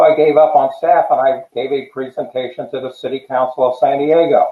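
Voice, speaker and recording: Here a man talks with an American accent at a moderate pace. His pitch is medium. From New Jersey. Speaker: tiny home advocate. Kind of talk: casual chat. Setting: live stream.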